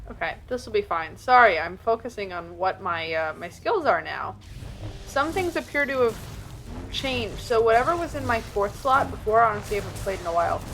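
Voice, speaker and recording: Music plays behind a woman who talks fast-ish at a fairly high pitch. Her pitch swings very widely. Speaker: video game streamer. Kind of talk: gameplay commentary. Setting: live stream. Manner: casual, filler-heavy.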